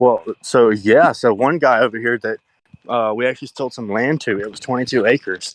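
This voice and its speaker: Over a quiet background, a man with a medium pitch speaks with fairly even intonation and big swings in loudness. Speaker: real estate agent. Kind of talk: casual chat. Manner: fast.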